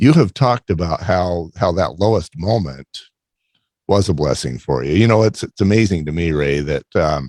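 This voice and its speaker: Lively intonation and vocal fry mark this moderately paced voice, recorded with a dry, close sound and no echo. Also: man, very deep, low pitch for a man. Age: 60s. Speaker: podcast host. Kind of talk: interview. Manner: halting.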